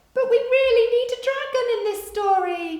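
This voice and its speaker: Shouting in a put-on character voice, a woman squeaks at an extremely high pitch at a moderate pace, with a slight echo. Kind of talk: bedtime story. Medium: read story. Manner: shouting, eager.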